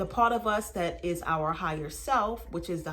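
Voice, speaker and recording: Against noticeable background noise and audible room echo, a woman speaks at a moderate pace in a fairly low voice with ordinary pitch variation. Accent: American. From Baltimore, US. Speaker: spiritual teacher. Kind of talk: spiritual teaching monologue.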